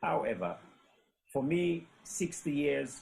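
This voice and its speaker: A man speaks with a Sierra Leonean accent. His intonation is lively. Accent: Sierra Leonean English with Krio. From Sierra Leone, Freetown. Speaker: storyteller. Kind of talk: panel discussion. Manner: halting, many fillers.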